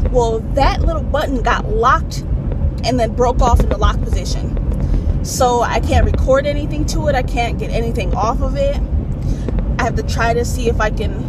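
At a moderate pace, a woman speaks in a dry sound with no echo while loud background noise plays. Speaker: vlogger. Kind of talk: casual vlog chat. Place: car. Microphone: phone near.

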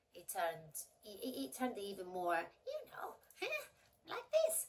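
Putting on a squeaky character voice, a woman speaks at a medium pitch and a very slow pace.

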